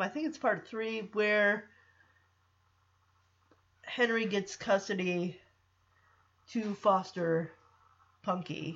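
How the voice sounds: Delivered at a slow pace, the voice has a fairly bright tone and ordinary pitch variation. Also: woman.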